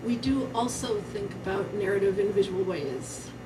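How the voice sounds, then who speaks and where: Amid audible room echo and noticeable background noise, a woman speaks at a fairly slow pace with ordinary pitch variation. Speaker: university professor, conference speaker. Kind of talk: conference talk. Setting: theater stage with live audience. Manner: casual, hesitant with fillers.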